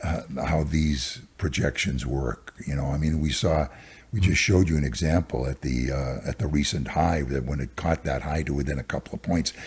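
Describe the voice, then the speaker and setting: Delivered at a moderate pace with ordinary pitch variation, the speech comes over noticeable background noise. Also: man, very deep, low pitch for a man. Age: 80s+. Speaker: stock market cycles analyst. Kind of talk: interview.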